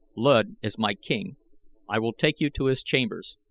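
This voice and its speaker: A man uses a put-on character voice at a medium pitch and moderate pace, on a very clean recording with a silent background. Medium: read story. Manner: cold, calculating.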